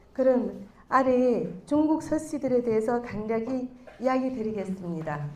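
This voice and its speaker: A woman's high voice with a Chinese accent and lively intonation, at a fairly slow pace, amid audible room echo and noticeable background noise. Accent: Chinese accent in Korean. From China. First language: Chinese (speaking Korean). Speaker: clan association vice-president. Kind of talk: prepared speech read aloud. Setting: stage with audience. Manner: formal.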